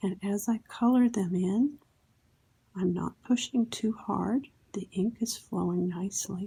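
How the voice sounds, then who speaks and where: A soft-spoken woman talks in a calm, dark, mellow tone that is somewhat breathy. Her pace is fairly slow. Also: ordinary pitch variation. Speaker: Zentangle instructor. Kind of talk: instructional ASMR tutorial. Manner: soft-spoken, slow, calm. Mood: calm, gentle, reflective.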